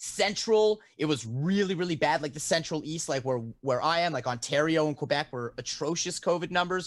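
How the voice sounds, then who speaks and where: Fairly quick speech against a quiet background. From Canada. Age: 30s. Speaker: guitarist and streamer. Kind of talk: casual chat. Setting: live stream with chat. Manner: fast talker.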